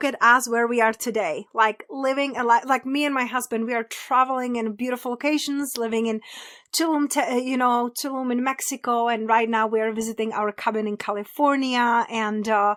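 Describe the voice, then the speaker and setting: Speaking with a Czech accent, a woman talks at a fairly quick pace with hardly any pauses, her high voice showing ordinary pitch variation in a very clean recording with a silent background. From Czech Republic. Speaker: abundance coach. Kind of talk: podcast interview.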